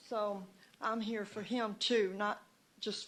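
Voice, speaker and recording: A woman's medium-pitched voice with a Southern US accent, at a fairly slow pace. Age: 70s. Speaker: citizen speaking at town hall. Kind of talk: public comment. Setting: town hall meeting at city hall. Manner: halting.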